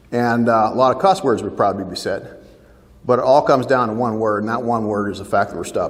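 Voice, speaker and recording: A man with a Canadian accent talks at a fairly quick pace in a medium pitch, with audible room echo around him. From Ontario, Canada. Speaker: farm family mediator and speaker. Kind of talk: keynote talk to a seminar audience.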